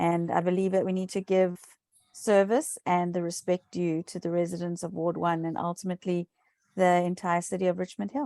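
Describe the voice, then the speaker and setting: A woman with a South African accent speaks at a fairly quick pace and fairly low pitch with fairly even intonation, her voice dry and close with no echo on a very clean recording with a silent background. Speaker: municipal election candidate. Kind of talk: interview.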